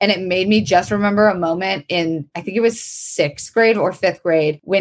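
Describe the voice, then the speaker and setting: In a plain, everyday voice, the speaker keeps a moderate pace with hardly any pauses, fairly even intonation and very even loudness. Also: woman. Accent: American. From Florida. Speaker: comedian and actor. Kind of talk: casual interview chat.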